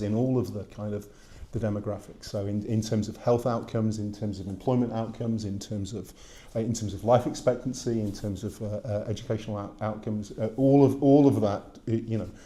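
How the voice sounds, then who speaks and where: A man with a British accent speaks at a fairly quick pace and fairly low pitch in a dark, mellow tone, with audible room echo. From Britain. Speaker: academic lecturer. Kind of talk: lecture. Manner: halting, many fillers.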